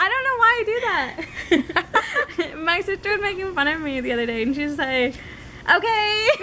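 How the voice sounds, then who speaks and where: In a raised, projected voice, a woman speaks at an extremely high pitch with very wide pitch swings and a moderate pace. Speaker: video podcast co-host. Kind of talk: casual chat.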